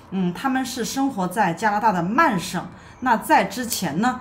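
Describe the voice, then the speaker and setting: A woman speaks with very wide pitch swings. Light background noise can be heard. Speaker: immigration consultant host. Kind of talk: commentary.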